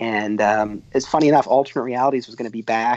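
At a very fast pace, a man talks with an American accent. His pitch is medium. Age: 30s. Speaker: documentary filmmaker. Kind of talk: podcast interview.

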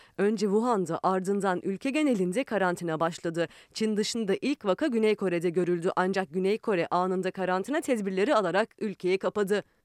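The speech runs at a fairly quick pace. There are hardly any pauses. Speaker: news reporter. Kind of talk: news reading.

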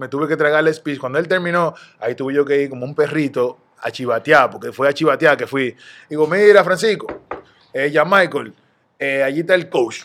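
At a fairly quick pace, a man speaks in an ordinary speaking voice, fairly high in pitch with ordinary pitch variation. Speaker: retired basketball player. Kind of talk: casual interview.

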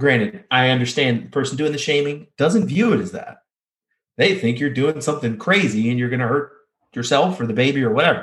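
This man's fairly high, somewhat breathy voice moves at a fairly quick pace with lively intonation. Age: 30s. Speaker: powerlifter and athletic trainer. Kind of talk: interview.

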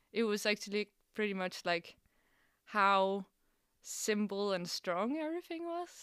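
Recorded very cleanly with a silent background and a dry, close sound with no echo, a woman with a Danish accent speaks at a medium pitch and fairly slow pace, with very wide pitch swings and long, frequent pauses. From Denmark, Copenhagen. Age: 20s. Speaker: musician. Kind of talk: casual chat. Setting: studio.

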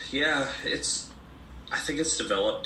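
The speech moves at a moderate pace with noticeable background noise. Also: man. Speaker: singer-songwriter, folk musician. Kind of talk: casual interview chat. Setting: remote call, mic troubleshooting.

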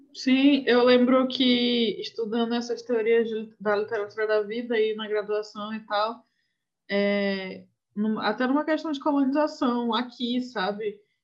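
This woman has a plain, everyday voice at a fairly high pitch. She talks at a fairly slow pace with ordinary pitch variation. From Brazil, Northeast. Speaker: podcast host. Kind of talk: casual book discussion.

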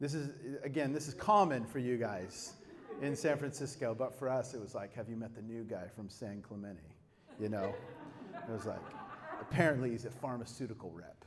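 Over noticeable background noise and audible room echo, a man talks in an animated tone at a fairly quick pace, with ordinary pitch variation and long, frequent pauses. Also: medium pitch for a man. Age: 40s. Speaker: pastor. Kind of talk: sermon.

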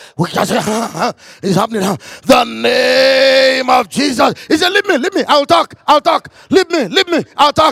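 Amid noticeable background noise, a man with an extremely high pitch and an animated tone talks at a fairly slow pace with hardly any pauses and very wide pitch swings. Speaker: pastor. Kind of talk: sermon. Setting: church.

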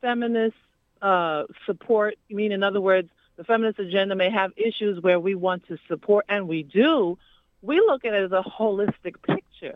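Her voice is an ordinary speaking voice, medium in pitch with ordinary pitch variation, as the woman talks at a moderate pace. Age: 50s. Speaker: community activist. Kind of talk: phone-in call. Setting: phone call.

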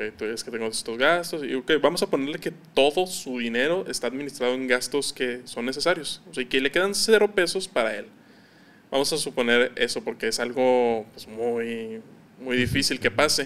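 An ordinary speaking voice from a man, medium in pitch, with lively intonation at a moderate pace. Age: 20s. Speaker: entrepreneur. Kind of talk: casual interview.

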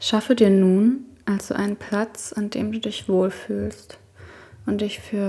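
Speaking at a very slow pace, a woman has a medium pitch and a somewhat breathy voice, her tone dark and mellow as well as calm and soothing. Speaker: podcast host and meditation guide. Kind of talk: guided meditation. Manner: slow, soft-spoken, calm and soothing, with long pauses; gentle, intimate, addressing listener as 'du'.

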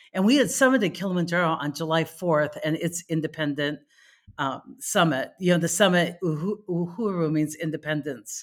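On a very clean recording with a silent background, a woman with an ordinary speaking voice talks at a fairly low pitch and a fairly quick pace, her intonation lively. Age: 50s. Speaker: hiking advocate. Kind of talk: casual chat.

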